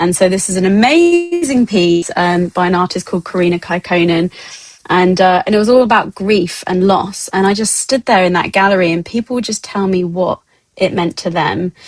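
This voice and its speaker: The speaker is a woman at a moderate pace. Her voice sounds dry and close, with no echo. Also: medium pitch for a woman, fairly even intonation. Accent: British. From England. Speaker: XR artist and producer. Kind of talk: guest lecture. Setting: online talk. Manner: halting, many fillers.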